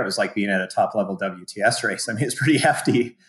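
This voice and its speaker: Speaking at a fairly quick pace, a man with an American accent has an unremarkable speaking voice, fairly low in pitch with ordinary variation. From US, small oil and gas town. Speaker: endurance coach and former Olympic triathlete. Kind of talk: casual interview chat.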